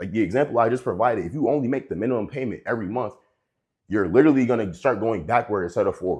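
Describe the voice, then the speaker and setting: Animated and at a very fast pace, a man speaks with medium pitch and ordinary pitch variation against a quiet background. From US, inner city. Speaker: personal finance youtuber. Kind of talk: casual monologue.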